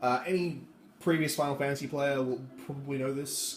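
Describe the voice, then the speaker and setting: A man speaks at a moderate pace in a fairly high pitch, with ordinary pitch variation. His voice is somewhat breathy, and the room echo is audible. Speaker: gaming YouTuber. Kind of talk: game walkthrough commentary. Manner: casual, hesitant fillers.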